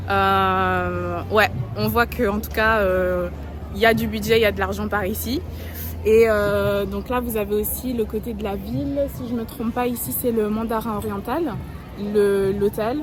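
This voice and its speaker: A woman speaks at a fairly slow pace. Music plays in the background, and the room echo is audible. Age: young. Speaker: travel vlogger. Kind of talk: travel vlog narration. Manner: hesitant, many fillers.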